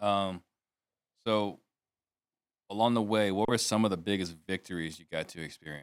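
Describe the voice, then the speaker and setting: With a fairly low pitch, a man speaks at a moderate pace and fairly even intonation. He leaves long, frequent pauses. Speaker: podcast host. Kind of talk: interview. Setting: live show.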